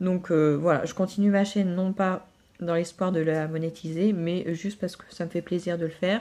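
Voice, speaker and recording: Her tone is dark and mellow, her pitch fairly low for a woman. She keeps a monotone, flat intonation at a moderate pace. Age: 30s. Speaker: vlogger and mother. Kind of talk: casual vlog monologue. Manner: hesitant, many fillers.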